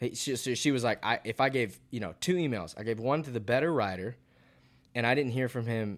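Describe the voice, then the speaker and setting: A man with an American accent, an ordinary speaking voice, a moderate pace and ordinary pitch variation. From US South, Georgia. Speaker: country songwriter. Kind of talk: casual chat.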